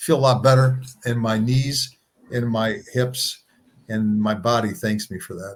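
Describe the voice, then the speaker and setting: Man at medium pitch, at a fairly slow pace, with ordinary pitch variation and big swings in loudness. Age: 60s. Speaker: co-founder of a plant-based health organization. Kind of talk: interview conversation. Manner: halting with frequent repetitions.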